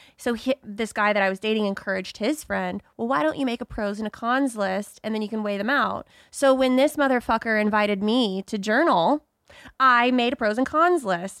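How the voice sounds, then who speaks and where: On a very clean recording with a silent background and a dry, close sound with no echo, a woman speaks in a plain, everyday voice at a moderate pace, her fairly high pitch showing ordinary pitch variation. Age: 30s. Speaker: podcast host. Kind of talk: casual chat; scripted intro.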